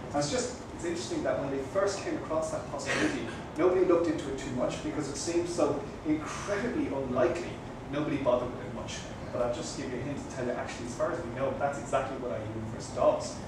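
Speaking at a very fast pace, a man is heard with audible room echo. Noticeable background noise sits beneath his voice. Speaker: guest. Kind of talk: lecture. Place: cafe.

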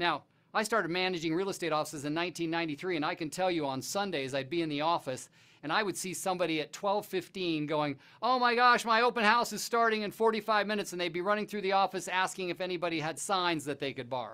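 Talking at a very fast pace, a man uses ordinary pitch variation against a quiet background. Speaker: real estate coach. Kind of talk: lecture. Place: studio. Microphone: lapel.

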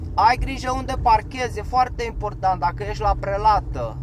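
A man speaks in a dry sound with no echo, with light background noise. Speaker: vlogger, former van driver; van driver vlogger giving advice. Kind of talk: casual vlog talk while driving. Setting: in a car. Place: car. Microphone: camera far.

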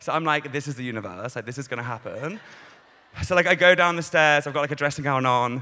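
The tone is bright and sharp. It comes from a man. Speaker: stand-up comedian. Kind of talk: stand-up comedy routine. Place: stage. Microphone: handheld.

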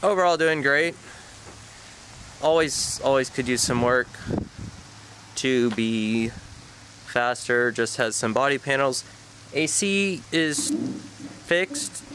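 Over light background noise, a man speaks very slowly with long, frequent pauses, the sound dry with no echo. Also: ordinary pitch variation. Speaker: car hobbyist vlogger. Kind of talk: casual vlog chat. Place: street. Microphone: phone near.

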